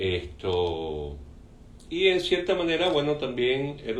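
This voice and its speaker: Very wide pitch swings mark a man's speech, heard with audible room echo. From Cuba. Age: 60s. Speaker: painter. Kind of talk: interview. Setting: artist's studio.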